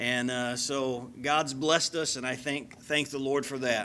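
A man speaks in a bright, sharp tone with fairly even intonation. Light background noise sits underneath. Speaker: guest preacher. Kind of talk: sermon introduction, personal background. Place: church. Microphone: podium.

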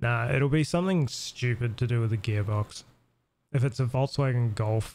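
A man at medium pitch with a New Zealand accent, somewhat breathy, at a moderate pace with ordinary pitch variation. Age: 30s. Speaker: gaming streamer. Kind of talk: casual chat. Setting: home live stream.

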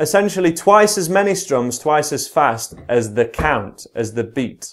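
The voice moves in very wide pitch swings at a fairly slow pace. The background is quiet. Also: man. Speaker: guitar teacher. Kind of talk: tutorial.

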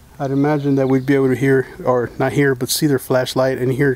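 A man talks very fast in a monotone, flat intonation, at very even loudness, in a dry recording with no echo. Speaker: ghost-hunting vlogger. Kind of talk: casual vlog chat. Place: tunnel cave. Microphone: phone near.

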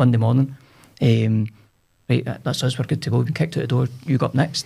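Against a quiet background, a man with a Scottish central belt accent talks very fast, with vocal fry and ordinary pitch variation. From Scotland, Cumbernauld. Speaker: business owner, entrepreneur. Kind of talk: casual interview chat. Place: studio. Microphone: studio mic.

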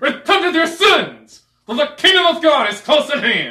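A man's loud, shouting put-on character voice, extremely high in pitch, at a moderate pace.

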